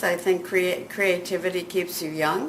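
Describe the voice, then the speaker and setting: A woman speaks at a medium pitch with fairly even intonation. The room echo is audible. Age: 80s+. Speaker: magazine editor and writer. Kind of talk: interview.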